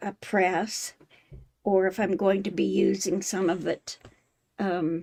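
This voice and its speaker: A woman speaks at a very slow pace with vocal fry, a medium pitch, a dark, mellow tone and monotone, flat intonation, leaving long, frequent pauses. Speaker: quilting channel host. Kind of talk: live stream tutorial. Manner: halting.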